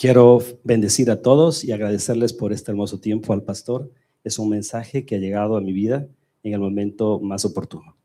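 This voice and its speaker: In a Spanish accent, a man speaks at a very fast pace with a fairly low pitch and a dark, mellow tone. The recording is very clean, with a silent background. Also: fairly even intonation. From Ecuador. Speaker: church member. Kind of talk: testimony.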